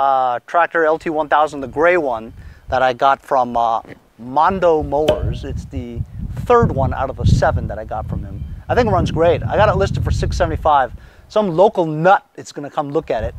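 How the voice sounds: A man at a moderate pace, fairly high in pitch, with lively intonation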